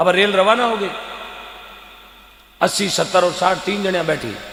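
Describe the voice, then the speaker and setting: In a Rajasthani accent, a raised, projected voice with an animated tone carries over noticeable background noise and audible room echo. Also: man. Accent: Rajasthani (Marwari) Hindi. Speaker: folk comedian and devotional speaker. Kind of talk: stage comedy storytelling with devotional appeal.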